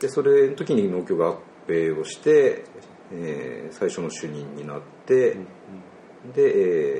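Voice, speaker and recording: Noticeable background noise beneath a man's fairly slow speech. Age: 40s. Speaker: agricultural cooperative staff. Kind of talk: casual chat.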